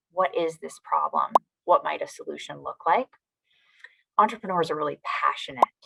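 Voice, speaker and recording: With long, frequent pauses and big swings in loudness, a woman talks at a moderate pace in a dry, close sound with no echo. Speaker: foundation president. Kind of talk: motivational talk to young audience. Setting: virtual event. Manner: frequent ums.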